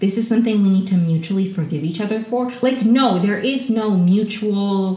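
A woman at a fairly slow pace, lively intonation and an animated tone, with audible room echo and noticeable background noise. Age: 20s. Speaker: solo podcast host reviewing reality TV. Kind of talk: casual solo recap monologue.

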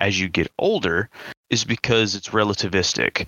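A man with an American accent talks at a fairly slow pace and a fairly low pitch. He uses an ordinary speaking voice. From US South. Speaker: podcast host. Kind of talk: casual chat.

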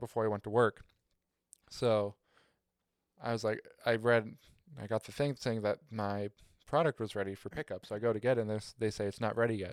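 On a very clean recording with a silent background, a man speaks at a medium pitch and a fairly quick pace. His intonation is monotone and flat, and the sound is dry and close with no echo. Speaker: podcast host. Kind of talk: casual chat.

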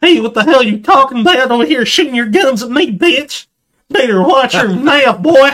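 This man uses a put-on character voice pitched extremely high. He talks at a moderate pace. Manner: aggressive, taunting.

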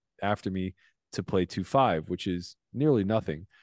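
In a plain, everyday voice, a man with an American accent speaks at a fairly low pitch and a moderate pace. The sound is dry and close with no echo, and the background is quiet. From US (small steel mill town). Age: 40s. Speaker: professional poker player. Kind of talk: casual chat.

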